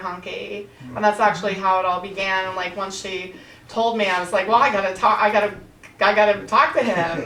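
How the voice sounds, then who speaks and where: Over noticeable background noise and audible room echo, a woman talks at a fairly quick pace. Her pitch is medium and her intonation fairly even. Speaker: author and interviewer of women writers. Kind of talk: panel discussion. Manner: loud.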